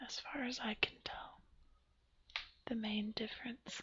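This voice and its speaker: The speech is whispered at a fairly slow pace. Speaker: ASMR creator. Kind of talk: ASMR rambling talk. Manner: whispered, soft-spoken.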